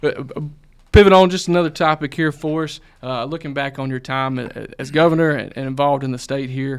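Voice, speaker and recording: In an ordinary speaking voice, a man with a fairly high pitch keeps fairly even intonation at a fairly quick pace on a very clean recording with a silent background. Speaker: podcast co-host, government affairs staffer. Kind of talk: podcast interview.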